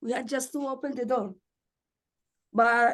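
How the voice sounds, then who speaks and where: A woman's high-pitched voice with a Spanish accent. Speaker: community advocate. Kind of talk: meeting discussion.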